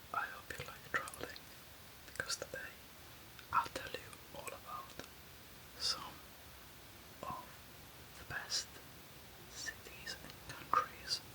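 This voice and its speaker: Someone whispers at a very slow pace, with long, frequent pauses. Noticeable background noise runs underneath. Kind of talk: ASMR whispered travel facts, casual talk to camera. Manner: whispered.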